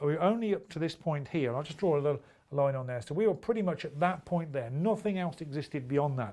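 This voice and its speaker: Lively intonation runs through very fast speech on a very clean recording with a silent background. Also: man, fairly high pitch for a man. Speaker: trading educator. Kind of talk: tutorial.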